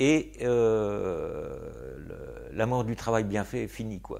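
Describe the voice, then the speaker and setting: There is audible room echo around the man speaking. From Normandy, France (Argentan). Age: 60s. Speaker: poet and gardener. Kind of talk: interview. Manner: hesitant, many fillers.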